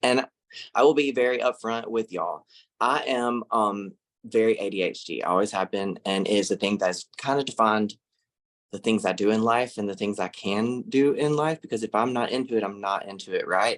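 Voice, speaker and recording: Speaking fairly quickly with an American accent, a man holds a medium pitch with ordinary pitch variation. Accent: Southern US (Mississippi), can get thick. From US South, Laurel, Mississippi. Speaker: social media influencer and art teacher. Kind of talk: webinar presentation. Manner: animated, conversational.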